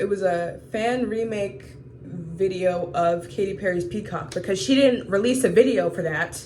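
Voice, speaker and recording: A woman at a moderate pace, with audible echo from the room. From US South, Georgia. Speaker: vlogger. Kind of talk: video diary.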